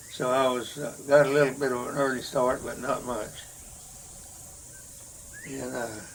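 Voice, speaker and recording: Against noticeable background noise, a man with an American accent talks at a moderate pace and medium pitch. His intonation is monotone and flat, with long, frequent pauses. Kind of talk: oral history interview answer. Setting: at home.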